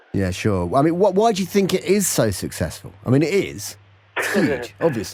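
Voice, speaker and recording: Very wide pitch swings and vocal fry in a fairly high male voice. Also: moderate pace. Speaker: interviewer. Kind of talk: interview questions.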